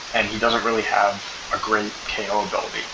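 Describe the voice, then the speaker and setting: A man's quiet, moderately paced speech with audible room echo and noticeable background noise. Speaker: MMA commentary YouTuber. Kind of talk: casual fight analysis monologue. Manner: talking quietly; animated. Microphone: poor microphone, low volume.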